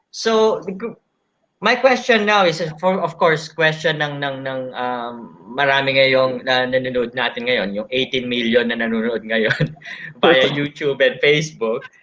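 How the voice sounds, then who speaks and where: Lively intonation marks this moderate-paced voice in a Filipino accent. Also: man, medium pitch for a man. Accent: Filipino English, Taglish code-switching. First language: Tagalog. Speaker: live session host interviewing architects. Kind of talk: live online interview. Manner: halting, many fillers and restarts.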